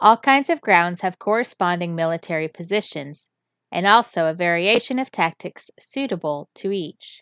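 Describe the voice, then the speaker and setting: A woman speaks at a moderate pace in an unremarkable speaking voice, medium-pitched with lively intonation. The recording is very clean, with a silent background and a dry, close sound with no echo. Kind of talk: reading aloud.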